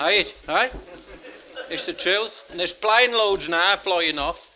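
With noticeable background noise around him, a man uses a raised, projected voice at a high pitch. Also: ordinary pitch variation, fairly slow pace. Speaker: comedian and dialect poet. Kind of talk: stand-up comedy to live audience. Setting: live audience, pub venue.

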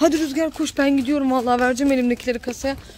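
Faint music plays in the background. Over it, a woman speaks at a high pitch. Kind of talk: casual vlog chat. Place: shop. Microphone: phone near.

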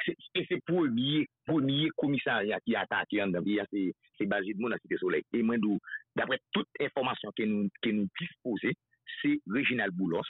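Against a quiet background with a dry sound and no echo, a man speaks at a fairly slow pace with a Haitian accent and a medium pitch. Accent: Haitian Creole. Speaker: political activist; show host. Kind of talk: casual chat. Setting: phone call. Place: studio.

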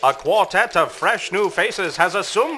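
The man's high pitch swings very widely while noticeable background noise plays behind him. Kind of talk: newsreel-style news report narration. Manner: polished, announcer-like delivery.

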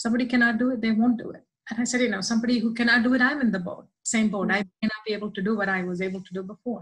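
A woman speaks at a very fast pace. Her pitch variation is ordinary. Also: quiet background. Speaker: interview guest. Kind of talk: interview answer. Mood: emotional, heartfelt testimony. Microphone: video call.

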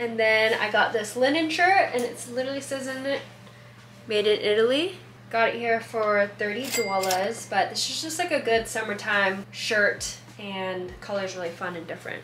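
A woman is speaking. Light background noise and audible room echo surround her voice. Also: moderate pace. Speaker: vlogger. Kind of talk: casual vlog chat. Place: home room. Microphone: camera far.

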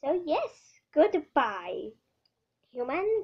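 A cartoonish character voice sits at an extremely high pitch. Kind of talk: child's toy roleplay. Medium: puppet show. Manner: grandiose, enthusiastic, loud.

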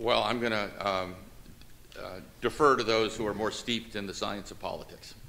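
With vocal fry and a bright, sharp tone, a man talks at a fairly low pitch and a moderate pace, his intonation fairly even and his speech broken by long, frequent pauses. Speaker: state education commissioner; witness. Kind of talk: legislative hearing testimony. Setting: legislative committee hearing room. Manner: halting, many fillers. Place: hall. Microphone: podium.

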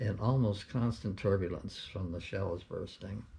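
A somewhat breathy man with a fairly low pitch and a dark, mellow tone talks at a moderate pace. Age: 80s+. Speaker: war veteran. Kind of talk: interview answer. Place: home room. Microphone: camera far.

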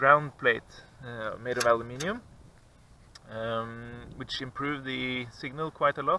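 A man talks with ordinary pitch variation over light background noise, the sound dry with no echo. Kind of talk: tutorial. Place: open country. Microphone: phone near.

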